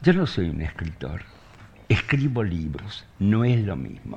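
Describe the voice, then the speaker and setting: Somewhat breathy, a man speaks at a fairly low pitch. His pitch swings very widely. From Argentina (born in Soviet Union). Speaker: writer. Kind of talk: public conversation.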